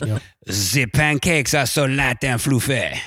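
A man puts on a raspy character voice in a French accent, medium in pitch, speaking at a fairly slow pace.

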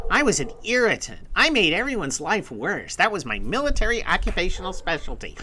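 A man speaks. He is doing a put-on character voice. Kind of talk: casual. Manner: gruff, sardonic.

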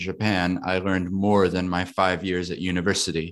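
On a very clean recording with a silent background, a man with a North American accent speaks at a moderate pace with a very deep, low pitch. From US. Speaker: podcast host. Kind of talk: interview conversation.

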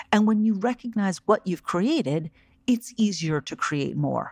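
Against a quiet background, a woman speaks at a moderate pace in a warm, enthusiastic tone with very wide pitch swings, the sound dry and close with no echo. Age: 40s. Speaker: podcast host and life coach. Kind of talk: solo podcast monologue with guided reflection.

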